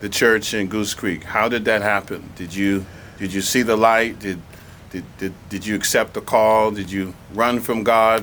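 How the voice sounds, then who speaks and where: This man's pitch is fairly low. His intonation stays monotone and flat. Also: fairly slow pace. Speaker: museum programs manager. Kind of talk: interviewer questions.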